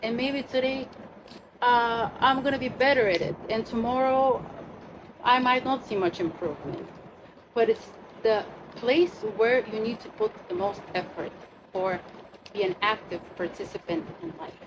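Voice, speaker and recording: With noticeable background noise behind her, a woman with a fairly high pitch and lively intonation speaks at a moderate pace, leaving long, frequent pauses. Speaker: astrologer leading a retreat workshop. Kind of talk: workshop talk to a group.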